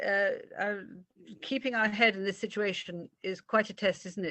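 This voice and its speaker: Speaking in a British accent, a woman shows ordinary pitch variation. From Britain. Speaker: art lecturer. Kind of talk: illustrated art talk. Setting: video call. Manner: animated.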